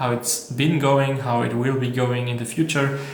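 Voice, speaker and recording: In an Austrian accent, the speaker is heard over noticeable background noise with audible room echo. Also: man. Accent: German-speaking (Austrian) accent in English. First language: German. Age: 20s. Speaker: vlogger and entrepreneur. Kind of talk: casual vlog monologue. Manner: halting, many fillers and restarts.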